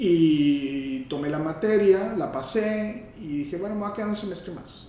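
A man speaks at a moderate pace with very wide pitch swings. Noticeable background noise and audible room echo surround his voice. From northern Mexico, Matamoros. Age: 50s. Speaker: gynecologist and obstetrician. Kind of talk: interview. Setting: doctor's office. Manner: halting.

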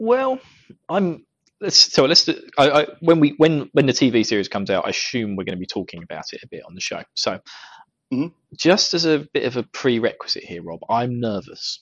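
A man speaks with a British accent at a moderate pace. His loudness swings widely. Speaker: podcast host. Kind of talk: casual chat. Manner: joking, laughs often.

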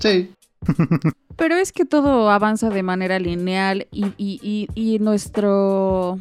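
Delivered very slowly, the speech rises and falls with ordinary pitch variation. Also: woman, medium pitch for a woman. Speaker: podcast co-host. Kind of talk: casual chat.

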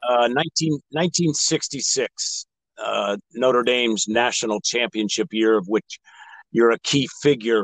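A man with a western Pennsylvania accent speaks at a very slow pace, with a medium pitch and ordinary variation. The sound is dry and close, with no echo. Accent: western Pennsylvania American. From Erie, western Pennsylvania. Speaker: podcast host. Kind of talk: interview.

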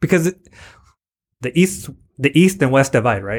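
In an unremarkable speaking voice, the speaker talks at a fairly quick pace with an American accent and ordinary pitch variation. The recording is very clean, with a silent background. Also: man. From US-Mexico border, San Diego area. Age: 30s. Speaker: high school teacher. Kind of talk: casual chat.

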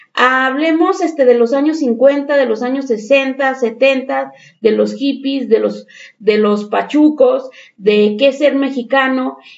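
A woman speaks very slowly in a high voice, with ordinary pitch variation. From Mexico. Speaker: teacher. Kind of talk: panel discussion.

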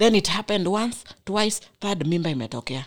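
The pace is fairly quick, with vocal fry. Pitch swings very widely. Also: woman. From Kenya. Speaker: volunteer with a community youth organisation. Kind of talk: casual chat. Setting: studio.

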